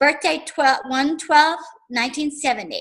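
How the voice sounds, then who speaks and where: A woman speaks at a moderate pace. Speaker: psychic. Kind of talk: psychic reading to class. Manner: warm, conversational.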